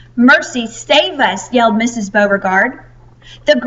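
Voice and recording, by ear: The pitch shows ordinary variation. A natural voice is heard reading aloud.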